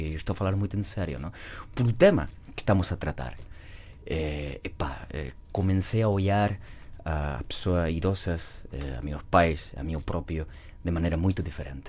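A man with a southern Spanish accent and a very deep, low voice with vocal fry, ordinary pitch variation, and a moderate pace broken by long, frequent pauses. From southern Spain, Cádiz. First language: Spanish (speaking Portuguese). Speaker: actor. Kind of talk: casual chat. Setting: studio.

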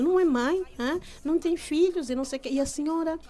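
This woman talks at a fairly quick pace. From Angola. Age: 40s. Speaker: journalist and rapper. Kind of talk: interview testimony.

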